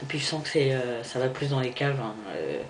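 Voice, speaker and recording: Noticeable background noise and audible room echo around a man at a moderate pace. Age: 20s. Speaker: vlogger. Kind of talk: personal video diary. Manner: halting.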